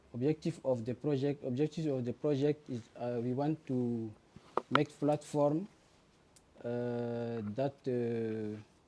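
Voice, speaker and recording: At a very slow pace, a man talks with fairly even intonation. His pitch sits in the medium range. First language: not English. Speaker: student presenting a project. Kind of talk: project presentation. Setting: demo day before a jury. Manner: halting, many fillers.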